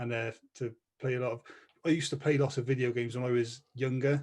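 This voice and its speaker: A man with a Welsh accent speaks at medium pitch in a somewhat breathy voice. His pace is fairly quick and his intonation monotone and flat. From Wales. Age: 30s. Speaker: podcast co-host. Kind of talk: casual chat.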